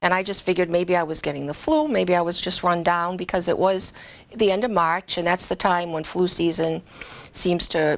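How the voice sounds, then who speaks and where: A woman's voice with a fairly low pitch and fairly even intonation. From Massachusetts, Boston area. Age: 60s. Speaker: hairdresser and COVID survivor. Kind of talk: personal testimony. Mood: earnest, emotional recollection. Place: studio.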